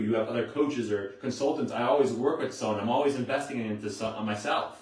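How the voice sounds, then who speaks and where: A man speaks at a fairly quick pace in a somewhat breathy voice, with audible echo from the room. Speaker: motivational coach. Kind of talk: live stream talk. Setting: handheld camera live stream. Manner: fast.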